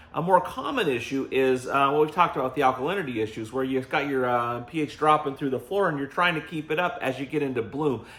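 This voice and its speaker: Talking at a very fast pace with hardly any pauses, a man has a fairly high pitch and ordinary pitch variation. Noticeable background noise runs underneath. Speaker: gardening show host. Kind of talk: casual chat.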